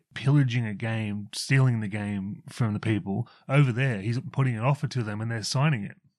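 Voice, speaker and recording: With an Australian accent, a man speaks at a moderate pace. His pitch variation is ordinary, over a quiet background. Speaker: co-host. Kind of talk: casual chat.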